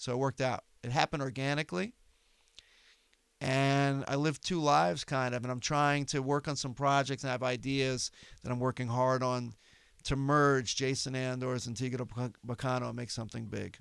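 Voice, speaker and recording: Recorded very cleanly against a silent background, a man with a New York accent speaks at a medium pitch. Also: fairly even intonation, moderate pace. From New York City, Manhattan. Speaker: comedian. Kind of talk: casual chat.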